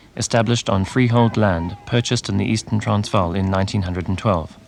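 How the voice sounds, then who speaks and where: An unremarkable speaking voice from a man, fairly quick in pace, with ordinary pitch variation. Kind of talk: documentary news narration.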